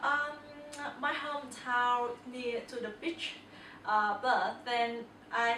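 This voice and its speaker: With long, frequent pauses, a woman speaks at a very slow pace in a high pitch and fairly even intonation. Audible room echo and noticeable background noise fill the recording. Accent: Vietnamese. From Vietnam. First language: Vietnamese. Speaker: interviewee. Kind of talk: casual interview. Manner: halting.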